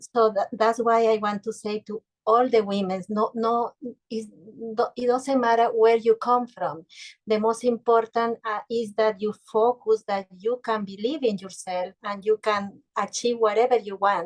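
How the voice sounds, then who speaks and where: A woman with a non-native accent speaks at a fairly slow pace and a fairly high pitch, with fairly even intonation. The sound is dry and close, with no echo. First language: Spanish. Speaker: business leader. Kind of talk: casual interview chat. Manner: halting.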